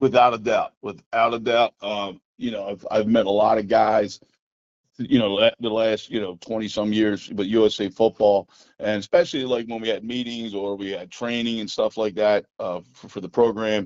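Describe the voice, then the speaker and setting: Using a normal speaking voice with an American accent, a man talks at a moderate pace with fairly even intonation and big swings in loudness. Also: fairly low pitch for a man. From Philadelphia, Pennsylvania. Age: 60s. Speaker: high school football coach. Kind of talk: podcast interview.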